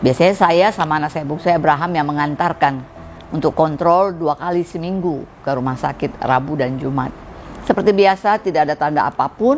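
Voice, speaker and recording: A woman with a very deep, low voice and ordinary pitch variation speaks over noticeable background noise. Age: 60s. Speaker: church music teacher and trainer. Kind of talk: testimony.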